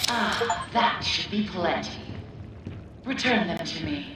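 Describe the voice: A cartoonish character voice at a fairly high pitch talks at a fairly slow pace. Clear echo surrounds it, and loud background noise runs underneath.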